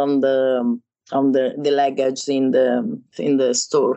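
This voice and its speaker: Very slowly, a woman with an Italian accent speaks at a very deep, low pitch. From Italy, Rome. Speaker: wedding photographer. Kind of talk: interview. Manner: halting.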